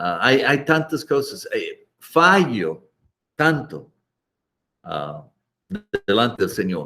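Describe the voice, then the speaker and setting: A man speaks very slowly with long, frequent pauses. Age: 60s. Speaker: missionary pastor and Bible teacher. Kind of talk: Bible lesson. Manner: halting, with fillers and repetitions.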